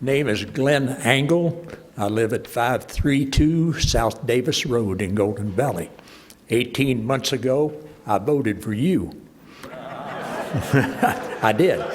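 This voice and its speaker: With an American accent, a man talks at a very slow pace and medium pitch, with ordinary pitch variation and noticeable background noise. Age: 80s+. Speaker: member of the public giving comment. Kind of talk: public comment statement.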